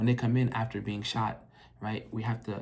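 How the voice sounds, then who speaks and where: A somewhat breathy man at a medium pitch speaks at a fairly quick pace in a monotone, flat intonation. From Minnesota, US. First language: French. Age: young. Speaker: emergency medicine doctor. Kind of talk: casual vlog monologue. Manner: conversational, frequent fillers.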